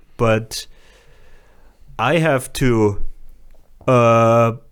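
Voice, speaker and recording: A man's medium-pitched voice with a German accent. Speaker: comedian. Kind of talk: casual chat. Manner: halting.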